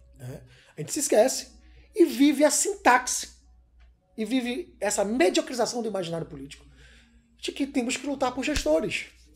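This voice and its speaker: Over faint background music, a man speaks at an extremely high pitch and a moderate pace, with very wide pitch swings, big swings in loudness, and long, frequent pauses. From Salvador, Bahia (Brazil); Bahia, Brazil. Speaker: filmmaker; interviewee. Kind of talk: interview; interview answer. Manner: hesitant, many fillers. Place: home room.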